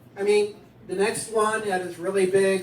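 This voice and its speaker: The speaker sounds animated while talking at a fairly slow pace against noticeable background noise. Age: 60s. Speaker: stand-up comedian. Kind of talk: stand-up.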